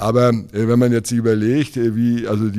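Recorded very cleanly against a silent background, a man speaks at a moderate pace in a dark, mellow tone. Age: 60s. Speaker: mayoral candidate. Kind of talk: interview. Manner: hesitant, many fillers.

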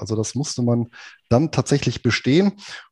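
A man with a dark, mellow, somewhat breathy tone speaks at a medium pitch with lively intonation, in a dry, close sound with no echo against a quiet background. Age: 40s. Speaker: finance blogger and podcast co-host. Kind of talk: history storytelling podcast chat.

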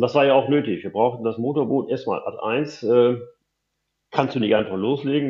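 The speaker is a man. He goes at a moderate pace with fairly even intonation. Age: 60s. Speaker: open-water swimmer. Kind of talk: interview. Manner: halting, many fillers and repetitions.

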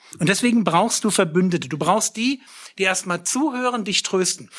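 A man speaks with lively intonation. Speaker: preacher. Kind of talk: sermon, direct address to listeners, teaching. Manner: earnest and lively, plain-spoken, emphatic; blunt, self-deprecating, with a sense of humor.

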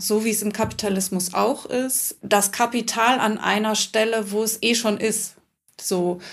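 A woman with a plain, everyday voice, fairly high pitch, fairly even intonation and a fairly slow pace. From Hamburg. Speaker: author and former actress. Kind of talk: casual chat.

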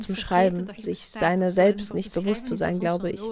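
A woman speaks with monotone, flat intonation. Noticeable background noise runs behind her. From Flanders, Belgium (Kempen region). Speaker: novelist. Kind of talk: interview. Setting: at home in Brussels.

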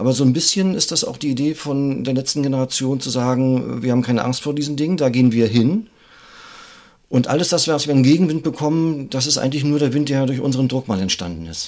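A man talks very fast. His pitch is medium. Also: ordinary pitch variation. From northern Germany, Greifswald. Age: 50s. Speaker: climate activist and visual artist. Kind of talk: interview conversation. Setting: office.

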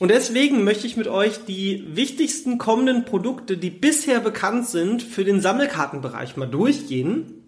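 A man speaks in an energetic tone. His pitch swings very widely. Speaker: podcast host on trading card investing. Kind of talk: casual solo podcast talk.

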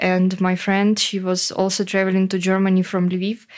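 Monotone, flat intonation at a very slow pace on a very clean recording with a silent background. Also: woman. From Ukraine, Poltava. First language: Ukrainian (speaking German). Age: 20s. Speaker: war refugee, freelance copywriter. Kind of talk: interview. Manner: halting, many fillers.

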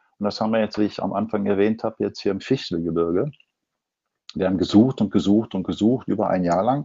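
The man speaks at a very fast pace. His fairly low pitch shows ordinary variation. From Ruhr area, Germany. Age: 60s. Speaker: advertising agency owner and designer. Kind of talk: interview.

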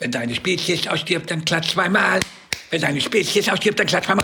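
Using a put-on character voice, a man talks high-pitched at a moderate pace.

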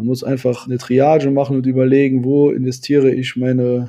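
At a fairly quick pace, a man speaks with a medium pitch and a dark, mellow tone. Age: 30s. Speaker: volunteer search and rescue leader. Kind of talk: interview.

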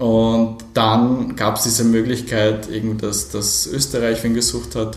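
In a room with audible echo, a man talks at a very slow pace. His intonation is fairly even. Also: medium pitch for a man. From Poland, raised in Austria. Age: 40s. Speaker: gender equality project coordinator and diversity trainer. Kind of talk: casual interview. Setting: café.

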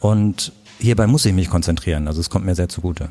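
Here is an ordinary speaking voice from a man. He talks at a fairly quick pace with ordinary pitch variation. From Germany, Königswinter (Rhineland). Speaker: photographer. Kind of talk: interview.

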